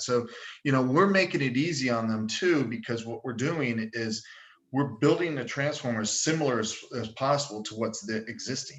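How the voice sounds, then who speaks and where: Here a man has a plain, everyday voice. He speaks at a medium pitch and a moderate pace. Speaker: sales engineer presenting a product. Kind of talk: webinar presentation with Q&A. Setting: online webinar.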